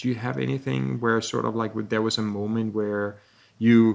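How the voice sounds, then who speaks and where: The speaker has a Danish accent. The pace is moderate. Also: man. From Denmark. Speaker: podcast host, texture artist. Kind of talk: casual interview conversation.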